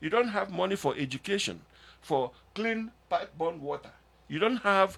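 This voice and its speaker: This man talks at a moderate pace in a high pitch with lively intonation. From Nigeria. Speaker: engineer and talk radio guest. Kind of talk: radio interview.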